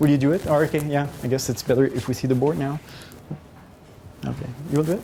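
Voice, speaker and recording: A man with a fairly high pitch and fairly even intonation is heard over noticeable background noise. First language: not English. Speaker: professor. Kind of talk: lecture. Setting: classroom, recorded on camera. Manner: hesitant, many fillers.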